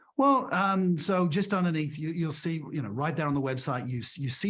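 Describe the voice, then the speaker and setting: Moderately paced male speech with audible room echo and ordinary shifts in pitch. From Britain. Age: 60s. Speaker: leadership author and speaker. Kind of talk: podcast interview.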